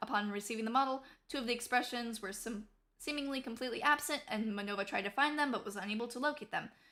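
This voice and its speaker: A woman with a high pitch and a bright, sharp tone speaks at a fairly quick pace. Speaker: vtuber. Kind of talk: reading a prepared statement. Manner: slurred.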